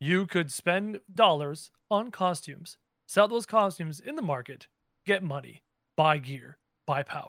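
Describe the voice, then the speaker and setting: A man with a normal speaking voice talks at a fairly slow pace, with ordinary pitch variation. The recording is very clean, with a silent background. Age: 30s. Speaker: gaming content creator. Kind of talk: casual chat.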